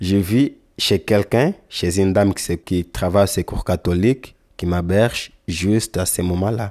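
A man with a Congolese accent speaks at a fairly low pitch with ordinary pitch variation and a dark, mellow tone. The sound is dry and close with no echo, on a very clean recording with a silent background. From Angola. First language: Lingala (speaking French). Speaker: young migrant. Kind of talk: testimony. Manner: halting.

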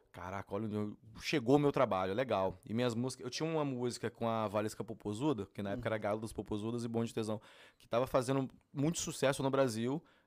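Speaking at a very fast pace, a man with a medium pitch uses ordinary pitch variation and big swings in loudness. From Brasília, Brazil. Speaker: funk singer. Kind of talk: casual interview.

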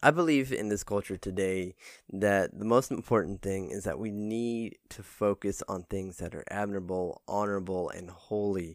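A plain, everyday voice moves at a moderate pace with ordinary pitch variation and big swings in loudness. The sound is dry and close, with no echo. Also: man. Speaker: devotional podcaster. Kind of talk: morning prayer and devotional. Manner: casual, upbeat, friendly; fervent, earnest.

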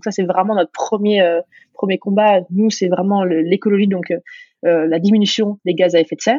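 A plain, everyday voice speaks with fairly even intonation. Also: woman. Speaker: startup co-founder. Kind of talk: interview conversation.

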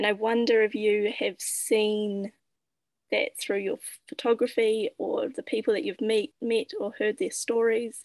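With an unremarkable speaking voice, a woman talks at a fairly high pitch and a fairly slow pace, the sound dry and close with no echo. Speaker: podcast host. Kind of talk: interview conversation.

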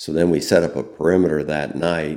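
A man speaks with vocal fry. His intonation stays fairly even. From US Midwest, central Illinois. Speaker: war veteran. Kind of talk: interview. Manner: calm, gentle.

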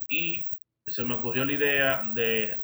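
Speaking at a very slow pace, the man has a bright, sharp tone at medium pitch with ordinary pitch variation. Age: 30s. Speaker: entrepreneur. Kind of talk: interview. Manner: hesitant, many fillers.

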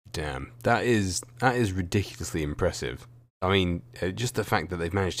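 A man talks at a fairly quick pace in a very deep, low voice with vocal fry. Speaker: wrestling YouTuber interviewing guest. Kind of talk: casual interview chat.

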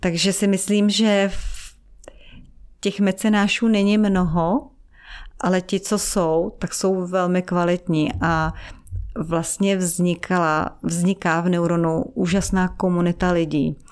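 A woman at a medium pitch, very slow pace, fairly even intonation and very even loudness, on a very clean recording with a silent background. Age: middle-aged. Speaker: foundation director. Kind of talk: interview.

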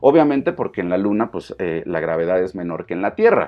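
A man speaks with a Mexican accent at a moderate pace. His pitch swings very widely. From Mexico. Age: 40s. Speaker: fitness coach. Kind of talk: casual monologue. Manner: hesitant, many fillers.

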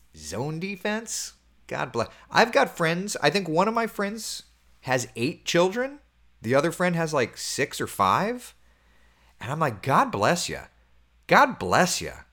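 An animated, bright and sharp voice with very wide pitch swings, a fairly slow pace and long, frequent pauses, in a very clean recording with a silent background. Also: man, high pitch for a man. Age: 30s. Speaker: TV meteorologist. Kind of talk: casual weather livestream chat.

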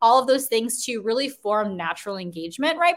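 A woman with an American accent talks at a fairly quick pace in an animated tone that sounds bright and sharp. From US Midwest, Chicago. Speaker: career coach. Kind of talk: live webinar workshop. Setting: livestream video.

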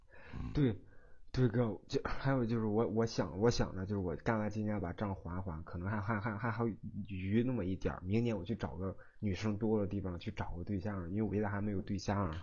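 Fairly low in pitch and somewhat breathy, this man's voice has a dark, mellow tone, fairly even intonation and a fairly quick pace. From Shandong, Tai'an. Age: 20s. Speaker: caller, custom furniture installer. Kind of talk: advice call-in. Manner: halting, repetitive stammering.

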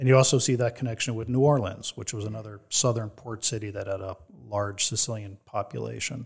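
Somewhat breathy, a man with an American accent speaks at a medium pitch and fairly quick pace with fairly even intonation, on a very clean recording with a silent background. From New Jersey. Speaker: author and organized crime historian. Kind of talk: interview.

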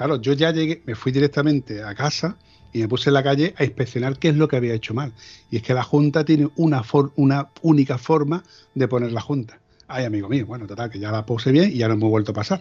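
Very fast, somewhat breathy speech from a man at medium pitch, with ordinary pitch variation. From Andalusia, Seville province. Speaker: motorcycle podcast host. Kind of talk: casual chat. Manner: halting.

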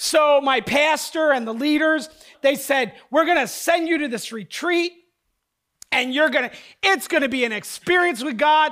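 With an American accent, a man projects an extremely high, bright, sharp voice at a moderate pace, his pitch varying in an ordinary way. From southern New Jersey. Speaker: pastor. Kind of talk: sermon.

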